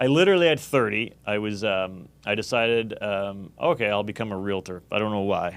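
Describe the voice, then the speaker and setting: A man with a Canadian accent at a fairly quick pace, fairly low in pitch with ordinary variation and hardly any pauses. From Canada. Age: 40s. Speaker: real estate investor. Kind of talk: interview. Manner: halting.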